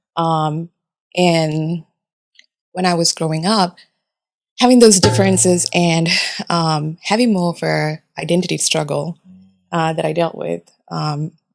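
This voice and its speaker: Over music in the background, the voice sounds dry and close with no echo, moving at a fairly slow pace with ordinary pitch variation and long, frequent pauses. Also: woman, fairly low pitch for a woman. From Japan. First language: Japanese. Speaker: chemical engineer. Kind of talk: casual chat.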